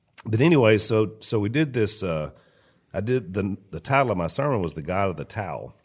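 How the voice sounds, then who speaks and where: With a Louisiana accent, a man speaks at a fairly low pitch and a moderate pace. His intonation is lively, broken by long, frequent pauses. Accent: Louisiana Southern. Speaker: podcast co-host and pastor. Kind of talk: casual chat.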